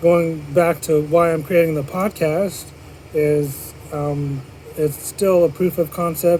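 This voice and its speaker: A man with fairly even intonation against noticeable background noise. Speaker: podcast host. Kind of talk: solo podcast monologue. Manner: monotone.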